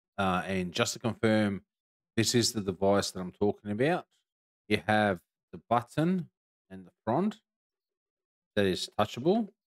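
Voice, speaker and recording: A man speaks at a moderate pace and a fairly low pitch, with ordinary pitch variation. The background is quiet. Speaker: tech reviewer streamer. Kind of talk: product review tutorial. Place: home room. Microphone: studio mic.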